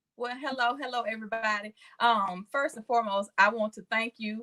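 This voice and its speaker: This woman's voice has a bright, sharp tone. Her pitch is fairly high. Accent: Southern US. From Mississippi. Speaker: nurse. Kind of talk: casual chat. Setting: live stream.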